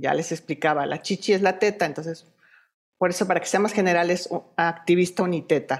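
An unremarkable speaking voice from a woman, fairly low in pitch with ordinary pitch variation. She talks at a fairly quick pace on a very clean recording with a silent background. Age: 40s. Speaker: breast cancer survivor and activist. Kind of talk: interview.

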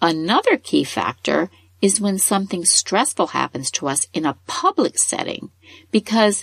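Recorded dry and close with no echo, a woman at a medium pitch speaks with lively intonation and a somewhat breathy quality. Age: 50s. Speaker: parenting podcast host. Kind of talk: scripted narration.

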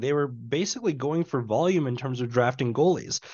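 This man has an unremarkable speaking voice. He talks at a moderate pace with ordinary pitch variation. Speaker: podcast host. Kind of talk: casual sports podcast chat. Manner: annoyed, ranting.

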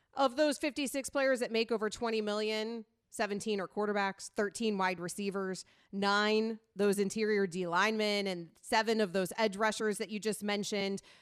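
A woman with an ordinary speaking voice and an American accent, medium pitch, fairly even intonation and a moderate pace, in a very clean recording with a silent background. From US South, Sarasota, Florida. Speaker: sports radio host. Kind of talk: sports talk radio chat. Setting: radio studio.

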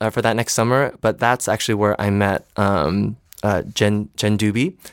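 A man with a plain, everyday voice speaks at a fairly low pitch and a moderate pace on a very clean recording with a silent background and a dry, close sound with no echo. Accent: American. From Michigan, East Lansing. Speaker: Broadway performer. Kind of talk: casual chat.

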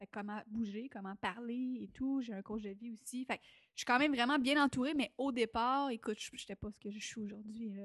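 A woman with a Quebec accent, fairly high pitch, moderate pace, and an animated tone, with big swings in loudness, a dry, close sound with no echo, and a quiet background. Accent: Québécois French. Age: 20s. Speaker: entrepreneur and stage talk show host. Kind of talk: casual interview.

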